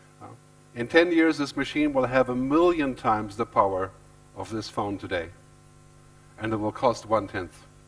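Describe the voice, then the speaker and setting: Music plays in the background as a man speaks at medium pitch with lively intonation. He leaves long, frequent pauses. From Germany. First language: German. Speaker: futurist and author. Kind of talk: keynote talk. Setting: stage with audience. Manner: fast.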